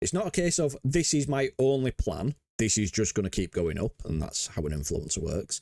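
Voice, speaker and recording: Vocal fry and very wide pitch swings mark this voice with a Yorkshire accent, recorded with a dry, close sound and no echo. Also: man, medium pitch for a man, moderate pace. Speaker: crypto trading educator. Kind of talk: market analysis tutorial. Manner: casual, filler-heavy.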